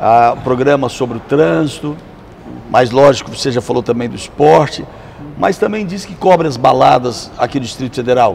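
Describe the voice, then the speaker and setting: Amid noticeable background noise, a man at a medium pitch talks at a moderate pace with lively intonation and big swings in loudness. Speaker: talk show host. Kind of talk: interview questions.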